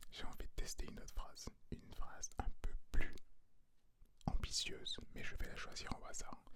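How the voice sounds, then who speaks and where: A man whispers at a moderate pace, with long, frequent pauses. His loudness swings widely. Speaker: ASMR artist. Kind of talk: ASMR whisper to viewer for sleep. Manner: whispered, soft.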